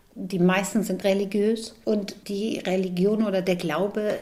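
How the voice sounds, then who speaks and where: At a fairly slow pace and with fairly even intonation, the speech comes through with audible room echo and noticeable background noise. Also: woman. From Bosnia. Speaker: psychologist. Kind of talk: explanatory interview.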